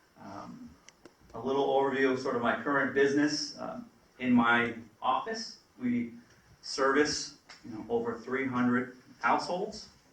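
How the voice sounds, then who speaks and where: With lively intonation and big swings in loudness, the speech moves at a moderate pace with long, frequent pauses, audible room echo and noticeable background noise. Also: man, medium pitch for a man. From Vermont, Rutland. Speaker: financial advisor. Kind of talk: presentation to town board. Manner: hesitant, many fillers.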